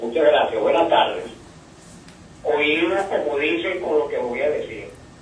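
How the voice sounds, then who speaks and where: At a fairly slow pace, a man speaks amid noticeable background noise and audible room echo. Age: 70s. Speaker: caller. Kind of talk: radio call-in. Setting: phone call.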